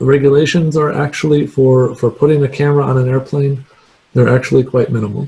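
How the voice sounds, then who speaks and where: A man's somewhat breathy voice, fairly high in pitch, with a dark, mellow tone, fairly even intonation and a moderate pace. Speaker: guest lecturer, remote sensing scientist. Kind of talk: lecture; Q&A answer.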